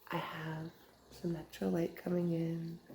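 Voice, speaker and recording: A woman is whispering at a very slow pace. Her voice is somewhat breathy. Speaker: ASMR creator and tarot card reader. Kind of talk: ASMR journaling video.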